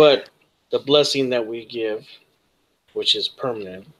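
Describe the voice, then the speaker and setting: A man does a put-on character voice with a raspy sound. His pitch is medium, and his pace is moderate. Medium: actual play.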